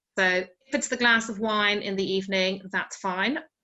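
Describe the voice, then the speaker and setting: A woman speaks with an Irish accent at a moderate pace. Her pitch sits in the middle range. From Ireland. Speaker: sleep expert. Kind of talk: online wellbeing talk. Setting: video call.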